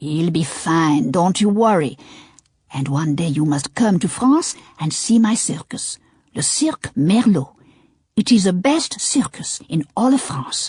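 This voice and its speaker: In a put-on character voice, a female-sounding speaker talks at a middle pitch and a fairly slow pace. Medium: read story. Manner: expansive, theatrical, heartfelt.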